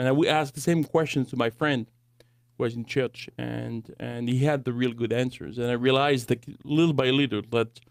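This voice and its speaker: In a French accent, a man speaks at a moderate pace with a medium pitch and fairly even intonation. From France. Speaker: Bible college director and apologetics teacher. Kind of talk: podcast interview. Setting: studio.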